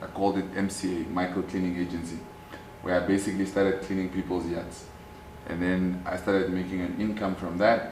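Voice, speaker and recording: In a Namibian accent, a man with a very deep, low pitch speaks at a fairly quick pace in a monotone, flat intonation, with audible room echo. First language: Oshiwambo. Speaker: activist and businessman. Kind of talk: interview.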